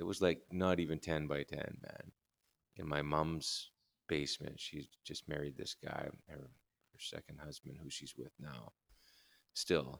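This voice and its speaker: A man with a Canadian accent and a very deep, low voice, vocal fry, a fairly slow pace, fairly even intonation, big swings in loudness, and a dry, close sound with no echo. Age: 50s. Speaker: guitar builder. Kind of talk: casual interview chat.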